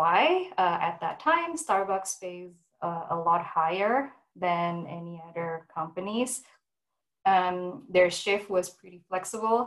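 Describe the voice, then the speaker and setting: With an Indonesian-Canadian accent, this speaker talks at a very slow pace with ordinary pitch variation. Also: woman, medium pitch for a woman. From Indonesia (Jakarta), moved to Vancouver at 15. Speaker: food industry professional. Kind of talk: online presentation and Q&A. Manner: many fillers (um, uh).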